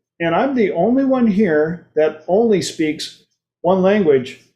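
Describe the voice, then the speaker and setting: A man talks with ordinary pitch variation. He has an unremarkable speaking voice. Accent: American. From United States. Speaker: talk show host. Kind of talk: casual chat. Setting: livestream.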